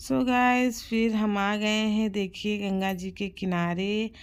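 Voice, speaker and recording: The recording is very clean and the background silent. A woman talks at a medium pitch, keeping her intonation fairly even. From Uttar Pradesh, Prayagraj. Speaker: vlogger. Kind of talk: casual vlog. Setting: outdoors at river bank.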